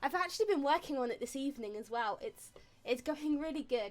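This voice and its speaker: A woman with a high-pitched voice speaks at a fairly quick pace. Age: 20s. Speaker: streamer. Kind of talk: casual chat. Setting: live stream. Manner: fast.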